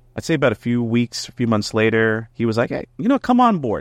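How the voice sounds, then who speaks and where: With an American accent and an ordinary speaking voice, the speaker moves at a fairly quick pace, the sound dry and close with no echo over a quiet background. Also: man. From New Jersey. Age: 30s. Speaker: music teacher and vocalist. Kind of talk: casual chat.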